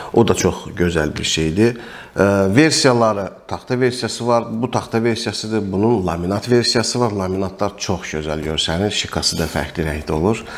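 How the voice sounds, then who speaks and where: Speaking at a moderate pace with hardly any pauses, a man uses a fairly low pitch and lively intonation. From Azerbaijan. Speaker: airgun reviewer and shop owner; air gun seller. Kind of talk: product review tutorial; product review talk. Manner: hesitant with frequent fillers. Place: shop.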